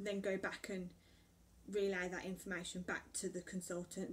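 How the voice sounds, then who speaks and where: A woman speaks at medium pitch and a moderate pace. Her voice is somewhat breathy, with light background noise. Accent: English. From England. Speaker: vlogger. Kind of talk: casual chat. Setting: at home. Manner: rambling with fillers. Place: home room. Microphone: camera far.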